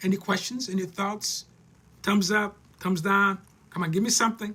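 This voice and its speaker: Raised and projected, a man's high, bright, sharp voice holds a flat monotone at a moderate pace. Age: 60s. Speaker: life coach. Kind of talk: live-streamed talk. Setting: live stream. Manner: halting.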